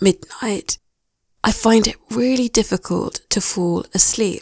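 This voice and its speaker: A woman with a British accent, ordinary pitch variation, and a dry, close sound with no echo. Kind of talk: English listening practice narration. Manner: slow, clear.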